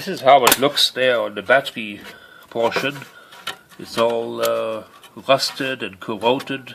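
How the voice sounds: A slow-paced man's voice at a medium pitch, fairly bright in tone, with vocal fry and fairly even intonation.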